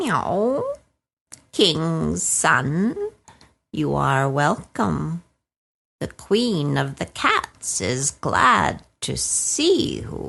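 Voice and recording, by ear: A put-on character voice at a very slow pace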